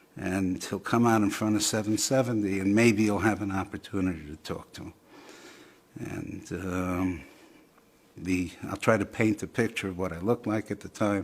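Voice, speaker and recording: A man talks at a moderate pace with fairly low pitch and fairly even intonation. His loudness swings widely. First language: Yiddish. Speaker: interviewee telling his story. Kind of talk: testimony. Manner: hesitant, many fillers.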